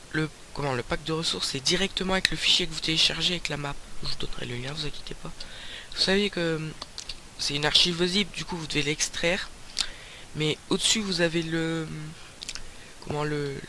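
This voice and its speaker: Over noticeable background noise, a man with a fairly high pitch speaks at a moderate pace with fairly even intonation and long, frequent pauses. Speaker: gaming YouTuber. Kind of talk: let's play commentary. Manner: loud; hesitant, many fillers.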